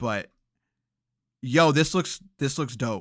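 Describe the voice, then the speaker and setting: Here a man speaks in an animated tone that is bright and sharp. The recording is very clean, with a silent background. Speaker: video game podcast host. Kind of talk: casual chat. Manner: fast.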